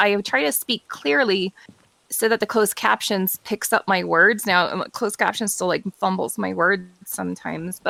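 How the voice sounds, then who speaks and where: The recording is dry and close with no echo, as a woman speaks at a medium pitch and moderate pace with ordinary pitch variation. Her tone is bright and sharp, with vocal fry. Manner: clear, careful.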